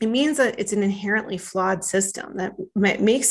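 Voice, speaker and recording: With an American accent, a woman speaks in a plain, everyday voice at medium pitch with lively intonation. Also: quiet background. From northern Minnesota. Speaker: startup founder and CEO. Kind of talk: podcast interview.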